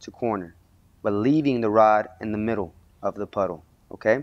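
Ordinary pitch variation marks this man's voice. He speaks at a moderate pace. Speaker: welding instructor. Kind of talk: tutorial.

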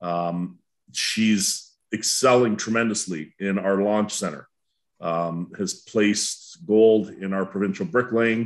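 At a very slow pace, a man with a Canadian accent speaks in a fairly low voice. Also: ordinary pitch variation, quiet background. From Welland, Ontario, Canada; Ontario. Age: 50s. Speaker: school board educator. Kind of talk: panel discussion. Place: home room. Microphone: webcam.

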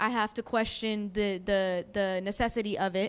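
The speaker is a woman with an American accent. She talks fairly slowly. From Jersey City, New Jersey; New Jersey. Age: 20s. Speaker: community activist; panelist. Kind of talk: panel discussion. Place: hall. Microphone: handheld.

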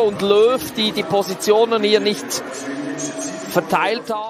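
An excited man with a high voice speaks at a fairly slow pace against noticeable background noise. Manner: analytical, measured, occasionally excited at goals.

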